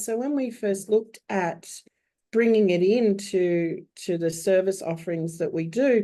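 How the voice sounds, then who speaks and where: In an Australian accent, a speaker talks at a fairly slow pace with a dark, mellow tone. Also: woman. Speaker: bookkeeper. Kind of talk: webinar panel discussion.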